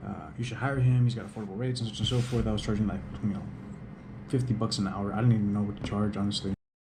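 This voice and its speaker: Quiet and very fast, a man speaks with a fairly low pitch and fairly even intonation in a room with audible echo. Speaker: DJ and vlogger. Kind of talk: casual vlog monologue. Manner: quiet, hushed. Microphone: GoPro camera audio, may sound poor.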